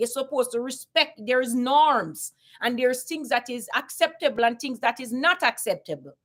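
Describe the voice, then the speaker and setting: A woman with a Caribbean accent speaks in a high pitch and an animated tone. Her pace is moderate, with hardly any pauses. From Jamaica. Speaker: YouTuber. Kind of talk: casual commentary monologue.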